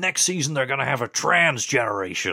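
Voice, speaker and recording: In a British accent, a bright, sharp voice with vocal fry makes very wide pitch swings, heard dry and close with no echo. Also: man, very clean recording, silent background. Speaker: podcast co-host. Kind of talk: casual chat. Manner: jokey.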